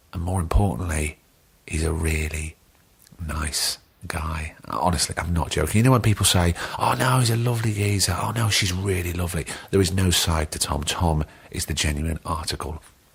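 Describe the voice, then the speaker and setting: Over noticeable background noise, a man speaks with a London accent at a moderate pace. His pitch is very deep and low, with ordinary variation. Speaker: podcast host. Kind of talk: casual chat. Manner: animated.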